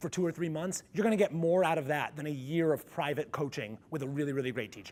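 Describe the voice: A man speaks in a resonant voice with a slightly mellow tone and ordinary pitch variation.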